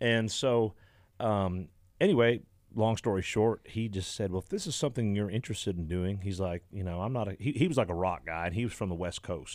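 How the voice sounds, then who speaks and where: A man speaks at a fairly quick pace in a fairly low pitch, with ordinary pitch variation. He has an unremarkable speaking voice, and the recording is very clean with a silent background. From Canada. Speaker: country musician. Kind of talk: casual radio interview. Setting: radio studio.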